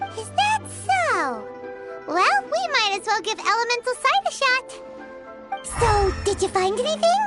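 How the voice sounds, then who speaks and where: A put-on character voice at an extremely high pitch plays over clear music in the background. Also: moderate pace. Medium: short film. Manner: lively, eager.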